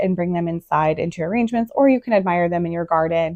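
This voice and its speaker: The woman's voice has a dark, mellow tone and a dry, close sound with no echo. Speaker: gardening vlogger. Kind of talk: casual tutorial. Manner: hesitant fillers.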